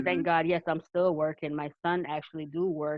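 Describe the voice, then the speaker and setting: At a moderate pace, a woman with a fairly low pitch speaks in fairly even intonation, an ordinary speaking voice. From Jamaica, raised in New York. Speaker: immigrant rights advocate. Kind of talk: round table interview answer. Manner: casual, conversational.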